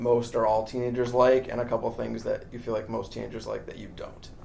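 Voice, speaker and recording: Noticeable background noise surrounds a man with an American accent. He talks at a fairly quick pace. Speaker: entertainment journalist. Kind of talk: interview.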